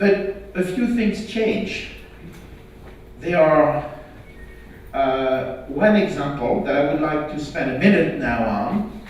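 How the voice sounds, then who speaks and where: A man's fairly high voice with lively intonation, very slow and broken by long, frequent pauses, amid noticeable background noise and audible room echo. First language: not English. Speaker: health IT standards expert. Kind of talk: conference talk.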